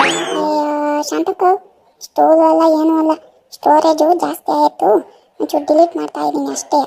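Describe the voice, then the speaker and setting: A woman uses a cartoonish character voice. She goes at a fairly slow pace. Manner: patient, mild.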